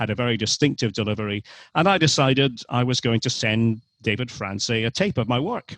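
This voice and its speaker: A man with a Scottish accent at medium pitch and a fairly quick pace, against a quiet background. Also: ordinary pitch variation, dry, close sound with no echo. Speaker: sports commentator. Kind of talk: interview answer. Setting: remote call.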